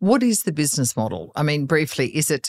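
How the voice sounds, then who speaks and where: The speaker has an Australian accent, and the sound is dry and close, with no echo. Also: woman. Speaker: podcast host. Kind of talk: interview.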